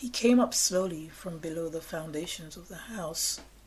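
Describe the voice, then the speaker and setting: A woman's fairly low voice at a fairly slow pace, over noticeable background noise. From England. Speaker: storyteller of personal ghost encounters. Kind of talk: personal ghost story told to camera.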